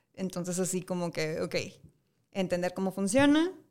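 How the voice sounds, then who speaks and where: On a very clean recording with a silent background, a woman speaks at a fairly quick pace with lively intonation. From Monterrey, Mexico. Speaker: fashion school teacher. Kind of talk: studio interview. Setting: studio. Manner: halting, many fillers.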